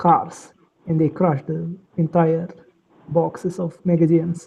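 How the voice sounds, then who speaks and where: A woman speaks at a fairly slow pace with a strong Russian accent, her fairly low voice held in a monotone, flat intonation. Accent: heavy Russian. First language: non-native English speaker. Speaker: online chat participant. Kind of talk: casual chat.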